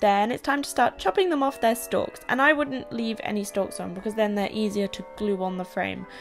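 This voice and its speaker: With music in the background, a woman in a southern English accent speaks at a moderate pace and medium pitch, with ordinary pitch variation and hardly any pauses. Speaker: YouTuber, singer-songwriter. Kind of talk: DIY tutorial talk to camera. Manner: upbeat, casual.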